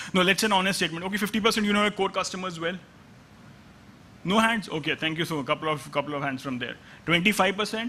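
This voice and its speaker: A man's high, raised and projected voice, bright and sharp in tone, at a very fast pace with long, frequent pauses. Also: ordinary pitch variation. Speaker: analytics executive. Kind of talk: conference talk. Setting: stage with audience. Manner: halting.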